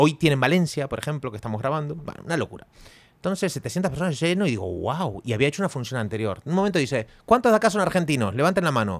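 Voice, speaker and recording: A man talks very fast in a fairly high voice with vocal fry and very wide pitch swings. The recording is very clean, with a silent background. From Argentina. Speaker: podcast co-host. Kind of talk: casual chat.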